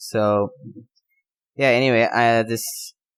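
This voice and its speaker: Here a man speaks. He has a non-native accent. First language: not English. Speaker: tennis podcaster. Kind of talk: casual unscripted monologue. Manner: halting, many fillers and pauses.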